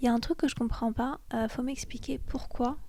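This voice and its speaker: Noticeable background noise surrounds a woman with a high pitch. She talks at a fairly quick pace with fairly even intonation. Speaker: podcast host. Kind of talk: casual chat. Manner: hesitant, many fillers.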